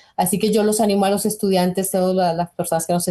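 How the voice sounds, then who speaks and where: In a Colombian accent, a woman speaks with a dark, mellow tone, somewhat breathy and fairly low in pitch, her intonation monotone and flat, against a quiet background. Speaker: nutrition researcher. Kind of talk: interview.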